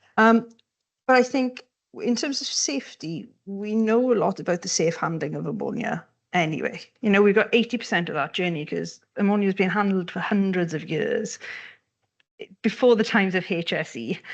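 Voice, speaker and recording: A woman with a Welsh accent at a moderate pace. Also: medium pitch for a woman, lively intonation. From Wales. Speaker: economic geographer, panelist. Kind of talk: panel discussion. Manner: animated, moves hands while talking.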